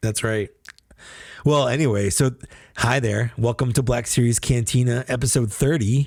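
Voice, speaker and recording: A man with a medium-pitched, somewhat breathy voice speaks at a moderate pace with fairly even intonation, very even loudness, and long, frequent pauses. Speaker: podcast co-host. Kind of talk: casual chat. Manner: sensual.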